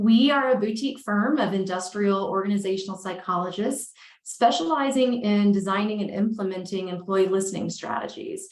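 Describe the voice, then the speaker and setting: A woman at medium pitch and a fairly quick pace, in a slight Southern US accent. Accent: Southern US, slight, may come out. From Alabama. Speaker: consulting firm owner, organizational psychologist. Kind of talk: podcast interview.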